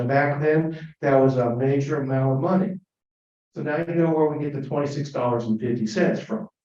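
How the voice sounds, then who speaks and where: Using an ordinary speaking voice, a man talks at a fairly quick pace. His pitch is fairly high, with ordinary variation. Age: 60s. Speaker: Rotary club speaker. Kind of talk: club talk on history.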